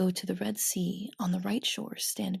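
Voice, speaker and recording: A soft-spoken woman with a soothing tone, dry and close with no echo. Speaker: ASMR storyteller and host. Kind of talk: ASMR bedtime story reading. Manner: soft-spoken, soothing.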